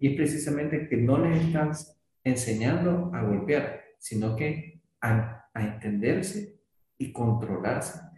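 Very slow, lively intonation in a dark, mellow, somewhat breathy tone. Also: man, fairly high pitch for a man. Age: 40s. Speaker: podcast host. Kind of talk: interview.

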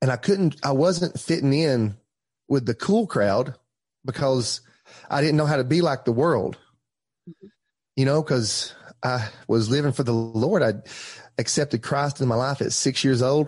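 The speaker has an Appalachian accent and a moderate pace, with ordinary pitch variation. Long, frequent pauses break up the speech against a quiet background. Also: man, medium pitch for a man. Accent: Southern US (Appalachian). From Tellico Plains, East Tennessee, US. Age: 30s. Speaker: pastor. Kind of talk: casual interview, testimony.

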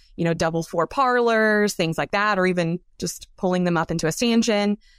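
Speaking at a fairly quick pace, a woman with a fairly low pitch uses ordinary pitch variation and a plain, everyday voice. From US South, South Carolina. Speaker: dairy science professor. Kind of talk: interview.

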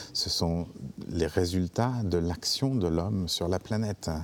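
Delivered at a fairly slow pace with ordinary pitch variation, the speech is captured on a very clean recording with a silent background. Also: man. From France. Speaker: theatre director. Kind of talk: interview. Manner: halting, many hesitations.

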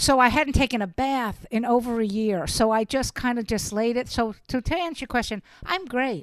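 An animated, high-pitched woman's voice at a moderate pace, with ordinary pitch variation and hardly any pauses. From Brooklyn, New York. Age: 60s. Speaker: stand-up comedian. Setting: video call.

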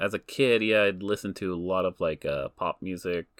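In a very clean recording with a silent background and a dry, close sound with no echo, a man with a Canadian accent speaks at a moderate pace with ordinary pitch variation. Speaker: podcast host. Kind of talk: casual chat. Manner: animated.

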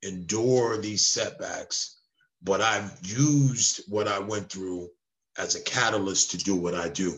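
This man has a plain, everyday voice, pitched fairly low, with ordinary pitch variation. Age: 50s. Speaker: mindset coach. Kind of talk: interview with storytelling.

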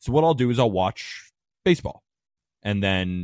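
A man with an American accent and an ordinary speaking voice talks at a moderate pace in a fairly low pitch, on a very clean recording with a silent background and a dry, close sound with no echo. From California. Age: 20s. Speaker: sports betting content creator. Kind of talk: casual chat.

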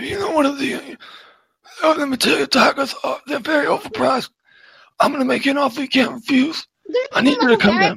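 A man puts on a character voice with an extremely high pitch. He goes at a fairly quick pace but leaves long, frequent pauses. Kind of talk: movie gangster parody.

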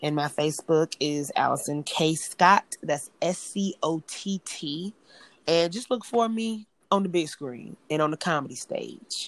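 With a plain, everyday voice and an American accent, a woman speaks at a fairly low pitch, with ordinary pitch variation and a fairly slow pace. The recording is very clean with a silent background, and the sound is dry and close with no echo. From US South, Greenville, South Carolina. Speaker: entrepreneur and aspiring actress. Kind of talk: casual chat.

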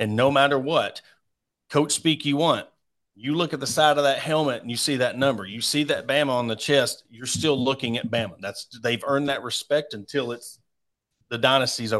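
Against a quiet background, a man with a Southern US accent speaks at a fairly high pitch and moderate pace with ordinary pitch variation. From Arkansas. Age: 40s. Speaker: sports podcaster. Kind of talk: casual sports interview.

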